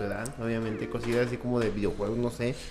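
The speech comes at a very fast pace in a Mexican accent. Noticeable background noise and audible room echo fill the recording. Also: man. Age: 20s. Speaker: podcast co-host. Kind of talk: casual chat.

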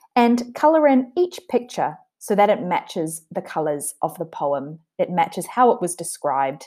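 The voice has a gentle, warm tone and very wide pitch swings, moving at a moderate pace with hardly any pauses. The recording is very clean, with a silent background. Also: woman. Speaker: teacher reading to a child. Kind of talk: poem reading aloud to a child. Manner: gentle, warm, child-directed.

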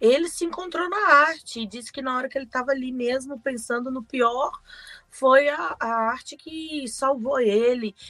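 At a moderate pace, a woman speaks in a high pitch with a bright, sharp tone, ordinary pitch variation and big swings in loudness. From Brazil, Belo Horizonte. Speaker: podcast co-host. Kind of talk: casual chat.

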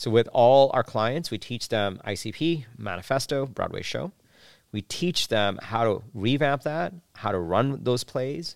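At a fairly slow pace, this is a plain, everyday voice with lively intonation. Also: man, medium pitch for a man. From New York City, born in Bangladesh. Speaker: startup founder and business coach. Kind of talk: interview.

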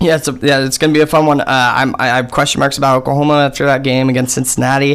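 A man with an American accent and a fairly high pitch speaks at a very fast pace in a monotone, flat intonation. His loudness stays very even over noticeable background noise. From Columbus, Ohio. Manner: halting, repeats words.

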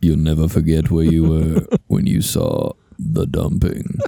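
A man uses a put-on character voice with a very deep, low pitch. He keeps a moderate pace. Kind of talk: trailer voiceover. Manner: ominous, dramatic.

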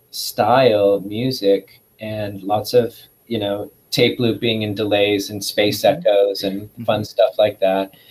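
A man with an American accent talks at a very slow pace. His pitch is medium. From US Pacific Northwest, Skagit Valley, Washington. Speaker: musician and composer. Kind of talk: casual interview.

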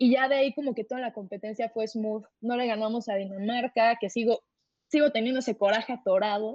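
An unremarkable speaking voice from a woman, fairly high in pitch, fairly quick in pace, with fairly even intonation. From Mexico City. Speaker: university debater. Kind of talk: casual interview.

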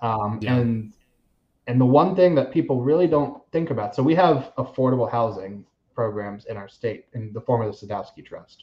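At a moderate pace, a man with an American accent talks at medium pitch, somewhat breathy, with ordinary pitch variation. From Florida, Seminole County. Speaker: realtor. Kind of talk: casual chat.

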